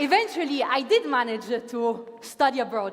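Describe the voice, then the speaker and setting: A woman in an Italian accent, lively in intonation, with noticeable background noise. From Italy, Milan. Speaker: master of ceremonies. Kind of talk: opening ceremony speech. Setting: stage with audience. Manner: animated.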